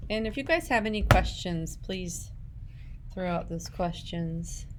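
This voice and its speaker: A woman talks at a fairly slow pace in a space with audible room echo. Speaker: ceramics teacher. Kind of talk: tutorial.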